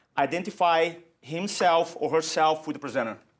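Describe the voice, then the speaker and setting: Using a Portuguese accent, a man with a fairly high pitch speaks at a moderate pace with ordinary pitch variation. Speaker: public speaking coach. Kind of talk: interview.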